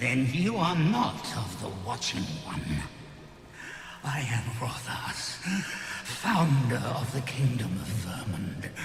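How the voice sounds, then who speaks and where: A man does a put-on character voice at medium pitch, speaking at a very slow pace. There is clear echo and clear background noise. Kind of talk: archaic epic fantasy speech. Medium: machinima. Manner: grave, slow, archaic.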